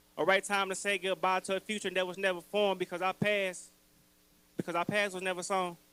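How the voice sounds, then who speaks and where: Very fast and raised, a man's high, bright, sharp voice projects in a monotone, flat intonation. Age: 30s. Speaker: spoken word poet. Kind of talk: spoken word poetry performance. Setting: stage with audience at open mic. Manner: halting, repeats words.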